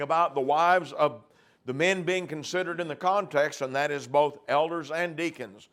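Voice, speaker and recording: A man speaks at a moderate pace in a normal speaking voice, his pitch fairly high with ordinary variation. The recording is very clean, with a silent background. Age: 60s. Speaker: preacher. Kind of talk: sermon; reading aloud.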